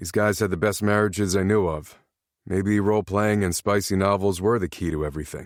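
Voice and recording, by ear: Someone reads aloud in a natural voice, keeping the intonation fairly even, while the background stays quiet.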